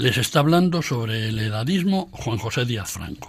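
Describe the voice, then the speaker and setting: Speaking at a moderate pace, a man uses very wide pitch swings in a somewhat breathy voice. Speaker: radio program presenter and essayist. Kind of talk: scripted talk. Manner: formal.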